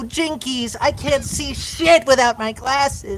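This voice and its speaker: In a put-on character voice, a female-sounding woman speaks at a high pitch and a fairly slow pace. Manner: panicky, cartoonish.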